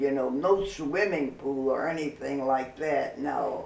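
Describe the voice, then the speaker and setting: A woman speaks with a Midwestern American accent, her voice carrying audible room echo over noticeable background noise. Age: 90s. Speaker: grandmother sharing memories. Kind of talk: casual interview reminiscence.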